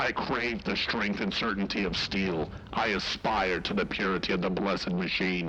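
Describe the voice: Over clear background noise, a man does a robotic, put-on character voice, fairly low in pitch and at a moderate pace.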